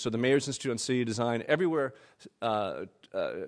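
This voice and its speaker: Against a quiet background, a man at medium pitch speaks at a very fast pace with ordinary pitch variation. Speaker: urban planner and author giving a keynote. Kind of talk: keynote lecture.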